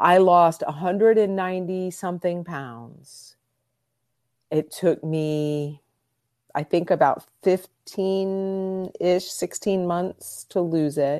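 Against a quiet background, a woman with a fairly low pitch speaks at a very slow pace with fairly even intonation. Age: 50s. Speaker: body image coach. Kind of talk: casual interview.

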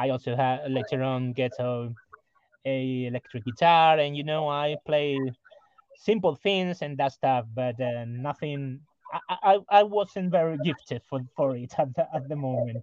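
The man's pitch is fairly high for a man. He talks at a fairly slow pace with ordinary pitch variation. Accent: Spanish. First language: Spanish. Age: 40s. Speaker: rock musician. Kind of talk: interview. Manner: halting, many repetitions.

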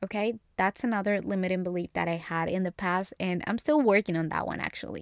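With a Spanish accent, a woman talks very fast in an animated tone at a medium pitch, with ordinary pitch variation and a dry, close sound with no echo. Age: 20s. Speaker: podcast host. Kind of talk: casual chat.

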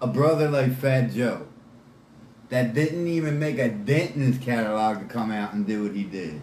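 With an American accent, the speaker has a dark, mellow tone, somewhat breathy, with ordinary pitch variation and audible room echo. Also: man. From Philadelphia, Pennsylvania. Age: 40s. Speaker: hip hop fan guest. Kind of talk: casual interview chat. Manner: animated.

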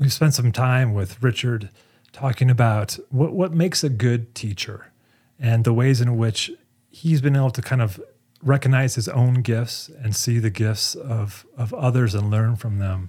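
A man speaks at a fairly slow pace in a dark, mellow, somewhat breathy tone, with ordinary pitch variation, on a very clean recording with a silent background. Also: medium pitch for a man. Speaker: podcast host. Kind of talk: scripted narration and interview.

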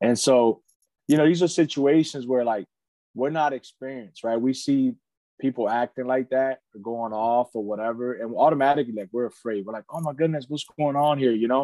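A plain, everyday voice with an American accent at a fairly quick pace, ordinary pitch variation, and a dry, close sound with no echo. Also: man, medium pitch for a man. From Philadelphia (Kensington, North Philly). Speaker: lineman foreman, Marine veteran. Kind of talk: casual interview.

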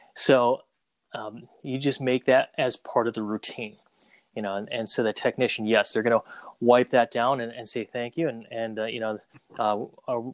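A man with a normal speaking voice, medium pitch, moderate pace and fairly even intonation. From Saigon, Vietnam, raised in Minnesota. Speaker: photo booth business owner. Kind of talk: casual interview.

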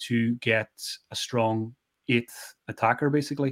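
This man has a normal speaking voice, medium pitch, and fairly even intonation. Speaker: fantasy football analyst. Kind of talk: casual chat. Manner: relaxed, chatty.

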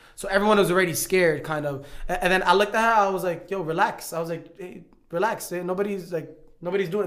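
A man talks at a very fast pace with a high pitch and fairly even intonation. Audible room echo hangs around his voice. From New York. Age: 20s. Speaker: YouTuber and boxer. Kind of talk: casual chat.

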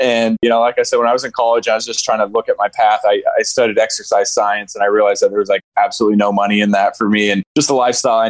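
Speaking very rapidly, a man is heard in a dry, close recording free of any echo. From Maine. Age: 20s. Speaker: real estate investor. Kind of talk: interview.

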